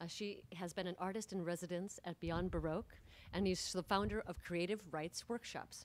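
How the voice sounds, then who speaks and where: A woman speaks at a moderate pace and medium pitch. It's a plain, everyday voice with fairly even intonation. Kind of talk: event host introduction.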